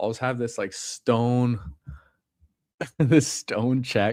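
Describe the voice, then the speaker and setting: A man's fairly slow, fairly even delivery in a very clean recording with a silent background. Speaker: fantasy football streamer. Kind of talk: casual live-stream chat while drafting. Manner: casual, slangy.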